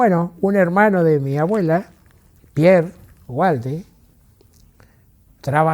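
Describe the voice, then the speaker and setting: A man speaks at a very slow pace. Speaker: interviewee recounting family history. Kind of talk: interview testimony. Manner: hesitant, halting with filler words.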